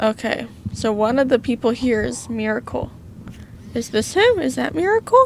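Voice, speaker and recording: With an American accent, a woman speaks at a moderate pace. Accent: southern accent, coming out more than usual. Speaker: gaming youtuber. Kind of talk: gameplay commentary with reading aloud. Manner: casual, chatty.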